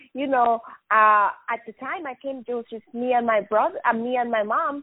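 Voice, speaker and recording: A woman with a Spanish accent speaks at a moderate pace. Her pitch is high, with ordinary variation. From Venezuela. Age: 20s. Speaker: business owner. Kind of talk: casual interview chat.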